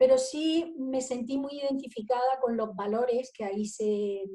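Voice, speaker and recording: Ordinary pitch variation in a dark, mellow tone, at a moderate pace. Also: woman. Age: 60s. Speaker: spiritual business coach. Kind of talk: interview.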